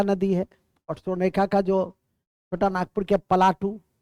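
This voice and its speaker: A man's high-pitched voice, dark and mellow in tone, with monotone, flat intonation and a dry, close sound with no echo. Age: 70s. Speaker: exam coaching teacher. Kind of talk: classroom lecture. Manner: repetitive, dictating.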